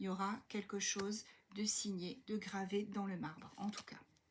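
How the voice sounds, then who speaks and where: Her voice is soft-spoken and somewhat breathy. The woman's pitch sits in the medium range. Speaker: tarot card reader. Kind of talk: tarot reading for viewers. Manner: hesitant, many fillers.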